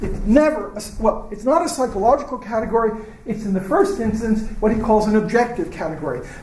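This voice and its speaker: A high-pitched male voice with an American accent, hardly any pauses and noticeable background noise. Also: ordinary pitch variation. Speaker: professor. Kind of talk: lecture. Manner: halting.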